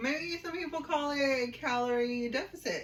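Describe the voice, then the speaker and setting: Noticeable background noise is present. A woman speaks at a fairly slow pace. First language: Spanish. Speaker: sister co-host of a vlog. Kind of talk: casual chat.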